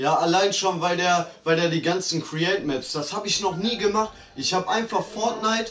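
Against noticeable background noise, a man talks in an animated tone with a high pitch at a moderate pace. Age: 20s. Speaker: gaming streamer. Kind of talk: live gaming stream chat.

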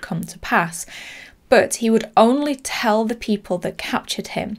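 A woman talks at a moderate pace with vocal fry. Her pitch varies in an ordinary way.

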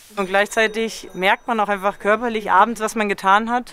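A woman with a normal speaking voice talks at a moderate pace, her fairly high pitch carrying fairly even intonation. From Germany. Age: 20s. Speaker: alpine dairymaid and cheesemaker. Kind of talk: documentary interview.

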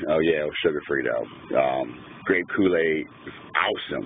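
A man speaks at a moderate pace in a dry sound with no echo. Light background noise runs underneath. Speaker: video blogger; vlogger. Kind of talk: casual vlog. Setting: at home, mobile phone video. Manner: halting, many fillers. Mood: relaxed, cheerful. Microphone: phone near.

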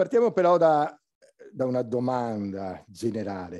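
A man speaks in a dark, mellow tone. His pitch swings very widely. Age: old. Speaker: academic labour researcher; conference panelist. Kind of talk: conference talk. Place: hall. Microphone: podium.

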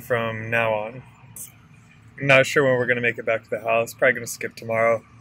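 In a dry recording with no echo, a man talks with monotone, flat intonation. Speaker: house flipper vlogger. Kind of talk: casual vlog chat. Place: car. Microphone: phone near.

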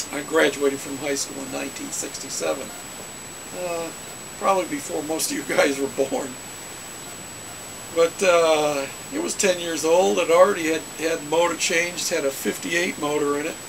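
Through noticeable background noise, a man talks at a moderate pace with ordinary pitch variation and long, frequent pauses. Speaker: hobbyist storyteller. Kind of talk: casual vlog chat. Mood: relaxed, nostalgic. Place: home room. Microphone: webcam.

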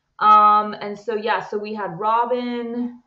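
A woman speaks at a very slow pace. Audible room echo surrounds her against a quiet background. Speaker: co-host. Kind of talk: casual vlog chat. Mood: relaxed, cheerful. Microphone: webcam.

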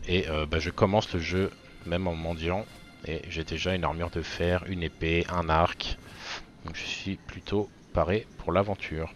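A man's very deep, low voice, flat and monotone, with long, frequent pauses and music in the background. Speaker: gaming youtuber. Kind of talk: gameplay tutorial voiceover, casual. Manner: casual, chatty, fillers.

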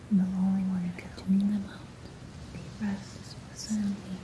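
The speaker whispers in a soothing tone. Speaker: ASMR creator. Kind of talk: ASMR binaural whispering. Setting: binaural microphone recording. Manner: whispered, soothing. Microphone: studio mic.

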